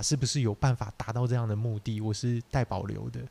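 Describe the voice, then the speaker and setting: The man's voice has a dark, mellow tone, recorded with a dry, close sound and no echo. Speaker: podcast co-host, small business owner. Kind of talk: casual chat.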